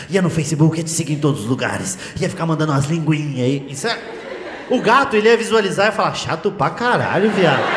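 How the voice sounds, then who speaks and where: A man speaks very fast with very wide pitch swings, and noticeable background noise is present. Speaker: stand-up comedian. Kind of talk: stand-up comedy routine. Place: stage. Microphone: handheld.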